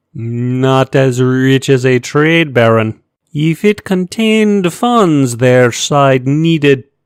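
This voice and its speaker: A put-on character voice at a low-to-middle pitch and a very slow pace. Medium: read story. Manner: formal, precise.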